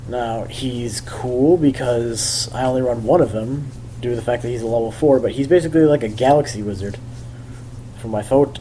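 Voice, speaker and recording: A man's medium-pitched voice, with ordinary pitch variation, comes through over noticeable background noise. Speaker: YouTube card game deck profiler. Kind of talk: casual tutorial. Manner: halting, stuttering with fillers.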